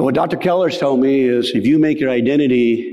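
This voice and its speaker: Ordinary pitch variation in a man's fairly high voice, moderate in pace, amid noticeable background noise. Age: 60s. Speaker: soil health educator. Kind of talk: conference keynote talk. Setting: stage with audience. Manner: animated.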